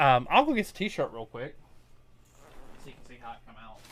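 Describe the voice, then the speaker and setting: In a very clean recording with a silent background, a man with a strong Tennessee accent speaks in a bright, sharp tone. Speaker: crafter streaming custom order work. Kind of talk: casual live stream chat. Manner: casual, halting with fillers.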